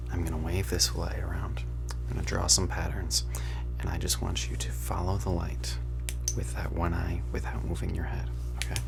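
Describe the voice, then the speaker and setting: A man's very deep, low pitch and fairly even intonation, with music in the background. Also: moderate pace. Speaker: ASMR creator. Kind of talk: ASMR medical roleplay, casual talk to camera. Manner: soft-spoken, whispered, relaxed.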